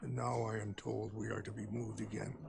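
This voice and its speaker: Over clear background noise, a man does a put-on character voice at a fairly quick pace. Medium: video game. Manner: measured, solemn.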